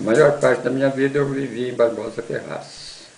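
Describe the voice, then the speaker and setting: In a room with audible echo and noticeable background noise, a man of medium pitch speaks at a fairly slow pace. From Brazil, southern Minas Gerais. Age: 70s. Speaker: interviewee. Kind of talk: testimony.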